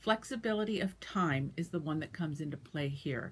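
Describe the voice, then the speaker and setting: A woman's fairly low, an ordinary speaking voice at a moderate pace with lively intonation, on a very clean recording with a silent background. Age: 60s. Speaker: dialysis patient sharing experience. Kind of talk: personal advice talk.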